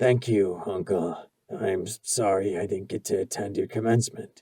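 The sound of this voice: Soft-spoken in a put-on character voice, a man sounds raspy and wheezy, fairly low in pitch, with fairly even intonation at a moderate pace.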